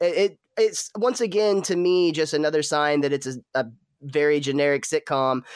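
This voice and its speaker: A man with a normal speaking voice at a fairly high pitch, the sound dry and close with no echo. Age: 30s. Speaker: podcast host reviewing TV episodes. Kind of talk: casual chat.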